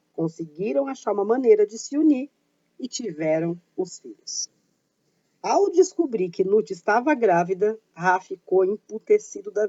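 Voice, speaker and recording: Fairly high in pitch, a woman talks at a fairly slow pace. Her pitch swings very widely. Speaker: YouTuber on paganism and witchcraft. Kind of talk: informal educational talk.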